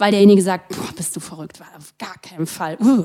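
A woman's dark, mellow tone at medium pitch, moderate in pace with ordinary pitch variation, in a dry, close sound with no echo. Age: 40s. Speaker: author. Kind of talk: casual chat.

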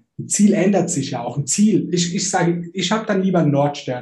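A man's high-pitched voice with a dark, mellow tone at a moderate pace, plus audible room echo. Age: 30s. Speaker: online marketer and coach. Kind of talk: casual chat.

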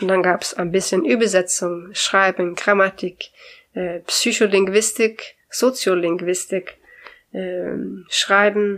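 The speaker is a woman with fairly even intonation. She talks at a very slow pace. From Sweden. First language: Swedish (speaking German). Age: 40s. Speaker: language consultant. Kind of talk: interview. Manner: cheerful.

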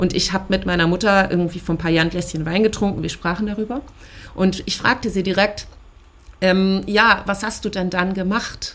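A woman talks at a moderate pace, her medium pitch carrying fairly even intonation. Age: 30s. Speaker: podcast co-founder sharing ADHD experience. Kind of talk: personal testimony interview. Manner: frequent filler hesitations.

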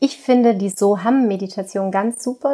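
A woman's ordinary speaking voice at a medium pitch, fairly slow, with ordinary pitch variation. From Austria, Tyrol. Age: 30s. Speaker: yoga teacher with multiple sclerosis. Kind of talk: interview. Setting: remote call from childhood bedroom.

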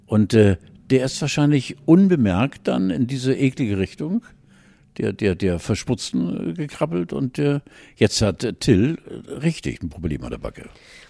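A man speaks at a fairly slow pace in a medium-pitched, dark, mellow tone with vocal fry and very wide pitch swings. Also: very clean recording, silent background. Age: 70s. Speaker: podcast co-host. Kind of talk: casual chat.

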